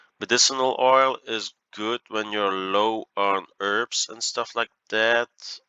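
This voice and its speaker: The speaker uses a Flemish accent at a very slow pace. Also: man. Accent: Flemish Dutch accent in English. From Belgium (Flanders). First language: Dutch. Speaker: gaming YouTuber. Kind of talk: gameplay commentary. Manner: hesitant, many fillers.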